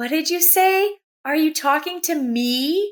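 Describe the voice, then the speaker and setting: A put-on character voice, female-sounding and squeaky, reaches an extremely high pitch. It moves at a fairly slow pace. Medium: read story.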